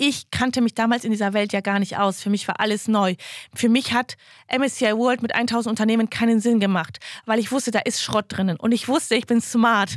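A woman talks at a moderate pace with fairly high pitch and fairly even intonation, in an unremarkable speaking voice. The recording is very clean, with a silent background. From western Germany (Wuppertal). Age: 30s. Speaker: investor and finance podcaster. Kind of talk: casual interview. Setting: studio.

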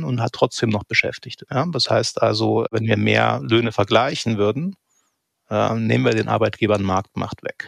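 A man speaks at a moderate pace, with a dry, close sound that has no echo. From eastern Germany, Saxony (near Leipzig). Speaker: economics professor. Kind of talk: interview.

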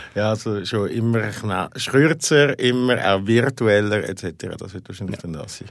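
At a fairly slow pace, a man speaks with a fairly low pitch and ordinary pitch variation. His loudness swings a lot. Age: 40s. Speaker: podcast host and editor. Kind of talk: casual interview. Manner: halting.

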